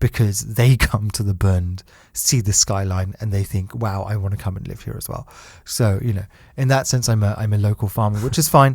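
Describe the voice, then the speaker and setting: Over a silent background in a very clean recording, a man with a British accent speaks at a moderate pace in a fairly low, somewhat breathy voice with ordinary pitch variation. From UK. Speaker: podcast host, entrepreneur. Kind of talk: casual chat.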